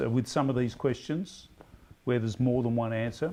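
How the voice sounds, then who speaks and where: A man's medium-pitched, dark, mellow voice in a strong Australian accent, with fairly even intonation. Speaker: quiz host. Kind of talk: pub quiz hosting. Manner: halting.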